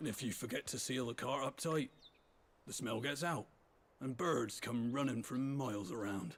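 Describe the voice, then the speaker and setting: A man does a raspy, put-on character voice, keeping a medium pitch and a moderate tempo. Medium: video game. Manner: dry, folksy.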